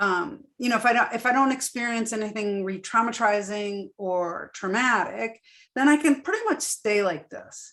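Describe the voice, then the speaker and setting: A woman talks at a moderate pace with hardly any pauses, in an unremarkable speaking voice. Her pitch sits fairly high and varies in an ordinary way. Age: 60s. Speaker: trainer and survivor presenting to advocates. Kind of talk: webinar presentation with Q&A.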